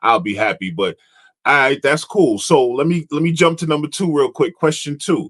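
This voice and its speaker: Recorded dry and close with no echo, a man with an American accent and an unremarkable speaking voice talks at a moderate pace in a fairly high pitch with lively intonation. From New York area. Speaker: podcast host. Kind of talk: casual interview chat.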